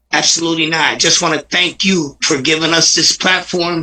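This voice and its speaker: Noticeable noise sits behind the speaker. He is a man with a fairly high pitch. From Paterson, New Jersey, Puerto Rican family. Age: 60s. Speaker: recovery advocate. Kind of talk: interview. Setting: livestream.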